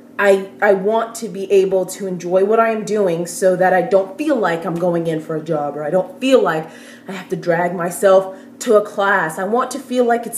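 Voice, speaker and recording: The speaker goes at a moderate pace with ordinary pitch variation. Noticeable background noise runs underneath. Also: woman. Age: 20s. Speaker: recent university graduate. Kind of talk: casual talk to camera.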